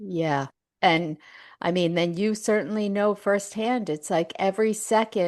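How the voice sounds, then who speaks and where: Against a quiet background, a woman speaks at a medium pitch and a fairly slow pace with ordinary pitch variation. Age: 60s. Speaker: author and caregiver. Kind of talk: interview conversation.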